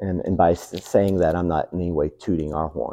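With a Southern US accent, a man speaks at a moderate pace in a very deep, low voice, his tone dark and mellow, his intonation fairly even, with vocal fry. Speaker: pastor. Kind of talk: sermon. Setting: church.

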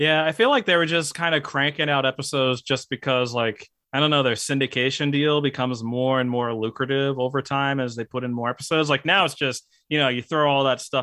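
This man has an unremarkable speaking voice. His pitch sits in the medium range, and his intonation is fairly even. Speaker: YouTuber. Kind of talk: casual chat.

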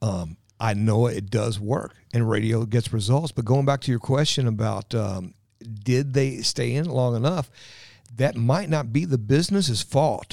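This man has an American accent and a medium pitch. He talks at a fairly slow pace with lively intonation. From Louisville, Kentucky (south end). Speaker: radio host and ad sales rep. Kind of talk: interview, casual chat.

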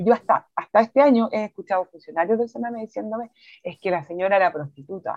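Talking at a very fast pace, a woman uses a fairly high pitch. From Chile. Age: 40s. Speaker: NGO director. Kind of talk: interview.

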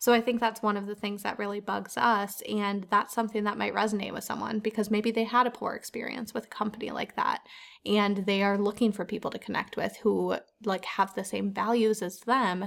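On a very clean recording with a silent background, a woman of medium pitch talks at a fairly quick pace with vocal fry and monotone, flat intonation. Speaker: podcast host. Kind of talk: casual chat.

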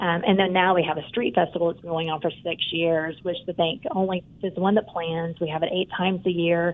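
Using an unremarkable speaking voice, a woman talks at a fairly quick pace with hardly any pauses. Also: fairly low pitch for a woman, fairly even intonation. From eastern Oklahoma, small town. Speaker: bank CEO. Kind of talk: interview.

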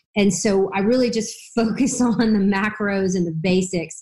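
Somewhat breathy delivery with lively intonation. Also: woman. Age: 50s. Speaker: OB-GYN physician. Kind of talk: interview.

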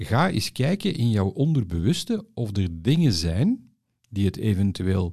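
The speaker goes very slowly, the pitch swinging very widely. The tone is dark and mellow, somewhat breathy, over a quiet background. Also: man. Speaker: podcast host, former advertising professional. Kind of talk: personal interview.

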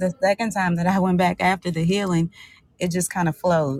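A woman's fairly low-pitched, a plain, everyday voice, with fairly even intonation at a moderate pace, in a dry, close sound with no echo. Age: 40s. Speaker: author and blogger. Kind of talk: interview.

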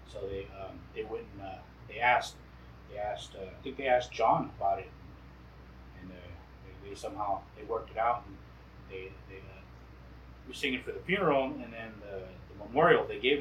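A man with an American accent at a fairly quick pace, big swings in loudness and long, frequent pauses. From US Southwest, Quechan Nation. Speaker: traditional singer. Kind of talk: casual chat. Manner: halting, many repetitions.

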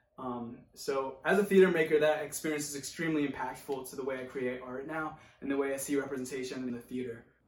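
Speaking very fast with hardly any pauses, a man with an American accent and a fairly high pitch keeps his intonation fairly even, with audible room echo around him. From rural Oregon. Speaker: actor. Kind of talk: monologue.

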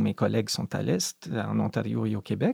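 Dry, close sound with no echo, carrying a man's voice at a moderate pace. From Madawaska, northwestern New Brunswick. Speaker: poet. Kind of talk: interview.

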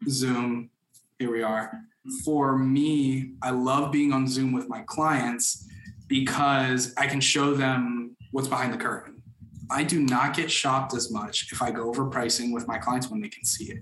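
A man's unremarkable speaking voice with an American accent, medium pitch, fairly even intonation and a fairly slow pace. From Florida, Orlando. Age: 20s. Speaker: mortgage broker. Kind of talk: interview.

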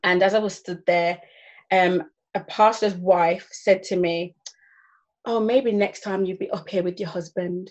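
A woman at a medium pitch and fairly slow pace, monotone and flat, with long, frequent pauses and a quiet background. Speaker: church youth director. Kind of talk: panel discussion, casual chat.

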